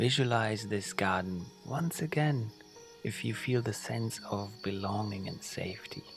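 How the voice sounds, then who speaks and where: Over music in the background, a man with a fairly low pitch speaks at a fairly slow pace. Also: ordinary pitch variation. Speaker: sleep guide. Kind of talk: guided sleep meditation for children. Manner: slow, soft-spoken.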